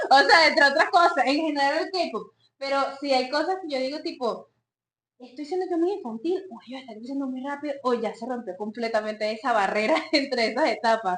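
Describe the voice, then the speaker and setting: A woman's high-pitched voice with lively intonation, big swings in loudness and a fairly quick pace. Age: late 20s. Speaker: psychologist and podcast co-host. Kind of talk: casual chat.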